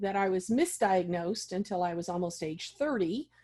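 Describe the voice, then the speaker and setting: This woman has a plain, everyday voice at a medium pitch. Her pitch variation is ordinary. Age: 60s. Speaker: vision loss specialist and advocate. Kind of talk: interview.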